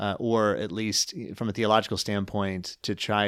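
A man with a plain, everyday voice speaks at a moderate pace with a fairly low pitch and fairly even intonation in a very clean recording with a silent background. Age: 30s. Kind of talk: casual discussion. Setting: studio.

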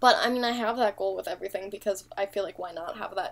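Speaking in an American accent, a woman has an ordinary speaking voice, a fairly high pitch and ordinary pitch variation. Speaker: language-learning podcast co-host. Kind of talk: casual chat.

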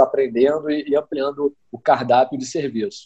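This man has a fairly high voice with a dark, mellow tone. His pitch varies in an ordinary way. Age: 30s. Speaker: entrepreneur and entrepreneurship teacher. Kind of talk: interview.

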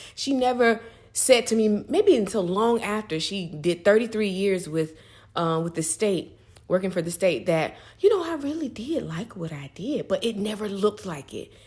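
A woman with a medium pitch speaks at a moderate pace, somewhat breathy. Her intonation is lively and her loudness swings widely. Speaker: guest co-speaker. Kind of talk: casual advice talk.

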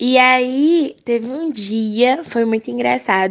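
This is a woman with an ordinary speaking voice. Her pitch is fairly high, with ordinary pitch variation. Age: young. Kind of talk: recorded voice message. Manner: casual.

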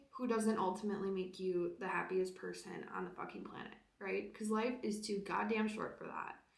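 Audible room echo follows the woman's voice as she talks. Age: 20s. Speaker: podcast host. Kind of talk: casual solo monologue.

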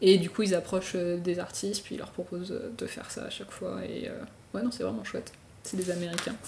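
Big swings in loudness mark this woman's fairly quick speech. Noticeable background noise runs underneath. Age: 20s. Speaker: motion designer and illustrator. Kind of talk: casual chat. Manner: halting.

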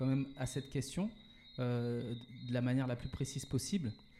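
A man at a medium pitch and moderate pace, somewhat breathy, with a dark, mellow tone. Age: 40s. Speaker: entrepreneur. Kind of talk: interview. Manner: hesitant, many fillers and repetitions.

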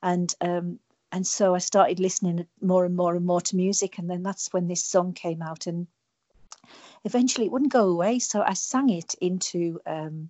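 A woman with a British accent speaks at a moderate pace, her fairly low pitch carrying fairly even intonation. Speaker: singer songwriter. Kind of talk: radio interview, casual chat. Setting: remote interview link.

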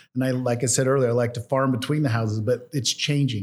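In a plain, everyday voice, a man with an American accent speaks at medium pitch with fairly even intonation on a very clean recording with a silent background. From Idaho. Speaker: state legislator and farmer. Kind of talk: casual interview discussion.

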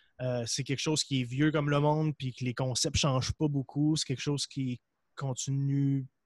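This man's voice is somewhat breathy. He speaks with monotone, flat intonation. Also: dry, close sound with no echo, quiet background. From Quebec, Gaspésie (Percé). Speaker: entrepreneur, supplement company cofounder and podcaster. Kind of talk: casual interview.

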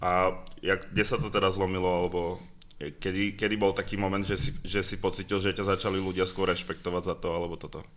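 A man speaks very fast in a very deep, low voice with a Slovak accent. The recording is very clean, with a silent background. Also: fairly even intonation. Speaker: podcast host. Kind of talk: casual interview.

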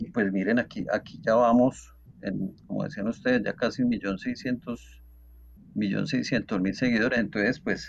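A man's medium-pitched voice with vocal fry, ordinary pitch variation and a fairly slow pace. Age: 40s. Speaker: TikTok content creator and electrical engineer. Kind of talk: casual interview.

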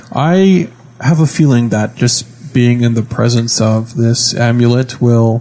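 A man talks at a medium pitch with ordinary pitch variation and a fairly slow pace. Noticeable background noise is present. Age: young. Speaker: podcast host and role-playing game player. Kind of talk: casual chat while playing tabletop game.

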